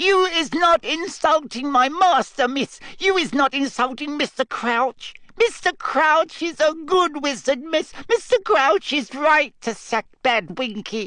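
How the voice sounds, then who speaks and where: The speaker puts on a shrill, high-pitched character voice. The delivery is fairly slow, with hardly any pauses. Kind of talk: servile, speaking of self in third person. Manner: screeching.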